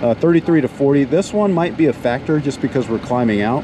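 A man at a moderate pace with lively intonation, a dry sound with no echo, and noticeable background noise. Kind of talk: casual vlog chat. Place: plane. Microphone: phone near.

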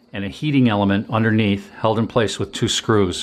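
Here a man is speaking. His voice is fairly low in pitch. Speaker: homesteader demonstrating tools. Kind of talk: tutorial. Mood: enthusiastic about value. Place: home room.

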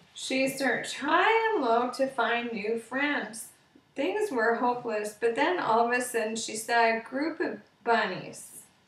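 Heard with audible room echo, a woman speaks fairly slowly at a high pitch with ordinary pitch variation. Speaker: storyteller. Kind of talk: bedtime story read aloud, scripted children's tale. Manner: slow, gentle, soft-spoken storytelling with long pauses. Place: home room. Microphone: webcam.

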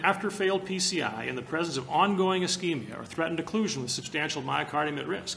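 A man is speaking over light background noise. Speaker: presenter. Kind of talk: lecture. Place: hall.

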